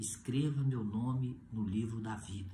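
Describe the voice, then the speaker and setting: A man speaks very slowly in a dark, mellow tone, somewhat breathy, with ordinary pitch variation and audible room echo. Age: 60s. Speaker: pastor. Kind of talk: sermon.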